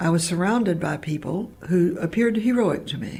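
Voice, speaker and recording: A woman talks at a moderate pace with lively intonation. Her pitch is fairly low. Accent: Appalachian. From Appalachian Kentucky, Harlan County. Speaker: university president emerita. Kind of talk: interview.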